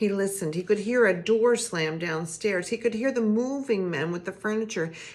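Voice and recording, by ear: The text is read aloud in a natural voice.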